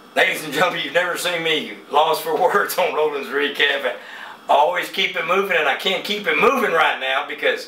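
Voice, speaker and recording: A man with an American accent at a fairly quick pace, amid noticeable background noise and audible room echo. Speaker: boxing interviewer. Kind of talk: casual interview. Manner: animated.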